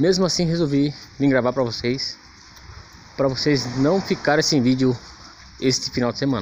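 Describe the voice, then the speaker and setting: Light background noise sits under a man with a fairly high pitch and ordinary pitch variation. He keeps a moderate pace but leaves long, frequent pauses. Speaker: cemetery vlogger. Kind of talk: casual vlog narration. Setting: outdoors in a cemetery at night. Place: rain. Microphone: phone near.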